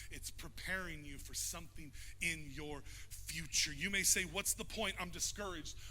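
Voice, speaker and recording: A man speaks in an animated tone at a fairly slow pace. Room echo is audible. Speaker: pastor. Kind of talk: sermon. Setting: church. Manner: loud.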